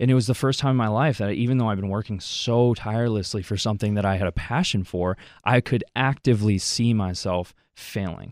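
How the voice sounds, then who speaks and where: In an ordinary speaking voice, a man with an American accent talks at a fairly quick pace and a fairly low pitch with ordinary pitch variation. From Wisconsin, US. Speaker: former college athlete, youth minister. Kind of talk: radio interview.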